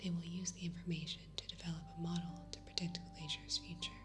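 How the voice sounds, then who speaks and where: Soft-spoken and calm in tone, the speaker keeps a moderate pace over music in the background. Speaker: ASMR news reader. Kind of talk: relaxing news reading. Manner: soft-spoken, calm.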